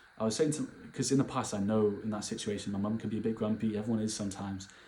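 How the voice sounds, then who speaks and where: This man speaks with a British accent at a fairly quick pace. His voice has a dark, mellow tone. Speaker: vlogger. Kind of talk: casual monologue. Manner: animated.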